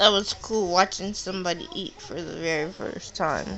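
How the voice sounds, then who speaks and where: A woman with a medium pitch speaks at a moderate pace against noticeable background noise. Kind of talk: casual personal vlog monologue. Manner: halting, self-correcting.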